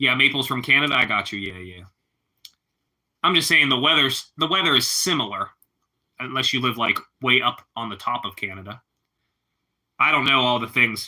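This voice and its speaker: A man speaks with ordinary pitch variation. His speech is broken by long, frequent pauses. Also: medium pitch for a man, moderate pace, big swings in loudness. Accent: Pittsburgh. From Pittsburgh, Pennsylvania. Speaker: live streamer. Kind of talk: casual chat.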